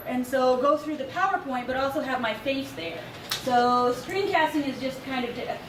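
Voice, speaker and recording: A woman talks at a fairly quick pace in a high pitch. There is noticeable background noise and audible room echo. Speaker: college instructor giving a workshop. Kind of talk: workshop presentation with Q&A. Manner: fast.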